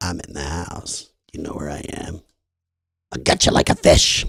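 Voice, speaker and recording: A man in a put-on character voice, raspy and very deep, at a moderate pace. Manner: menacing, taunting.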